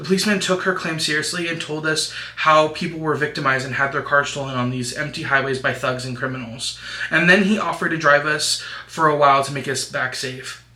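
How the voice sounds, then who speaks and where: A fairly high-pitched male voice at a very fast pace, over noticeable background noise. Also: fairly even intonation. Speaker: YouTuber. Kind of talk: reading horror story aloud.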